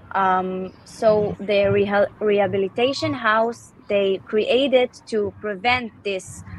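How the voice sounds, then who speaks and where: A woman's medium-pitched voice at a very slow pace, with fairly even intonation and noticeable background noise. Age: 30s. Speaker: art therapist. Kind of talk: casual interview. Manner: halting.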